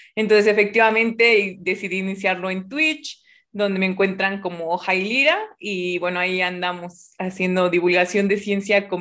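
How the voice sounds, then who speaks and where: The woman's voice sits at medium pitch with fairly even intonation. She keeps a moderate pace over a quiet background. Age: 20s. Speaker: physics grad student and science streamer; science streamer. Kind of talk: casual chat. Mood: cheerful, smiling. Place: home room. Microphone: webcam.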